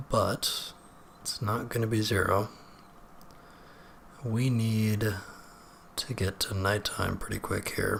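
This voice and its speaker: Whispering at a very slow pace with long, frequent pauses, a man is heard on a very clean recording with a silent background. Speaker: gaming video creator. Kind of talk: let's play commentary. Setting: home recording late at night.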